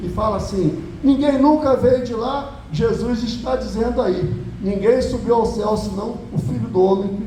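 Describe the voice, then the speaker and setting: Amid noticeable background noise and audible room echo, a man with an extremely high pitch speaks at a fairly slow pace with ordinary pitch variation. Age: 60s. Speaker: pastor. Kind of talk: sermon.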